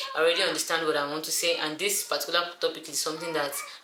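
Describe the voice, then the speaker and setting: A woman speaks with a very deep, low pitch. Audible room echo and noticeable background noise surround her. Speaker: YouTuber. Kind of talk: tutorial. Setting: indoors, alone in a room. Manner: fast.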